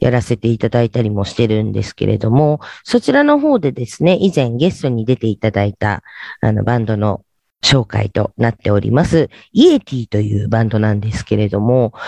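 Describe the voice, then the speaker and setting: A man's dark, mellow tone is heard in a dry, close sound with no echo. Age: 50s. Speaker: internet radio host. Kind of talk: radio show talk. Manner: polite, many fillers.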